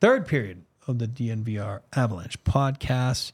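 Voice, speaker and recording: A somewhat breathy, medium-pitched male voice with ordinary pitch variation, on a very clean recording with a silent background. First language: French. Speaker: sports podcast host. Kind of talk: casual chat. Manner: filler-heavy, uses um and you know.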